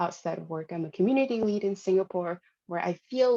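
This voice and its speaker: With a Hanoi accent, a woman speaks at medium pitch and a moderate pace, with ordinary pitch variation. Her tone is dark and mellow, and the sound is dry and close with no echo. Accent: Vietnamese (Hanoi). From Vietnam, Hanoi (northern). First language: Vietnamese. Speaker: product designer and conference speaker. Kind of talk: conference talk. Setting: live-streamed conference session.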